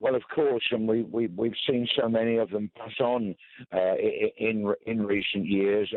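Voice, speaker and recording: In a normal speaking voice, a man at medium pitch speaks at a fairly slow pace with fairly even intonation. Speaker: veteran football commentator. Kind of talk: radio tribute interview. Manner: measured, reflective.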